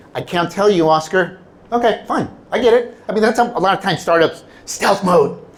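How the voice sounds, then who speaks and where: Over noticeable background noise, a man with a high voice speaks at a fairly quick pace, his pitch varying in an ordinary way. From California, Mexican-American family. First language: Spanish. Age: 50s. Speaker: keynote speaker. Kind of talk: keynote speech.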